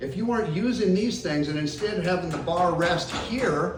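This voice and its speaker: Lively intonation at a moderate pace comes through audible room echo and noticeable background noise. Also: man. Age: 60s. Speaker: posture specialist. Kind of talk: tutorial. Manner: casual, conversational.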